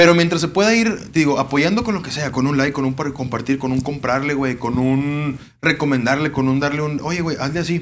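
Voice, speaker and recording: A man speaks at a fairly quick pace in a fairly high voice with ordinary pitch variation. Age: 20s. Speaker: grilling YouTuber. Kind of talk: casual chat.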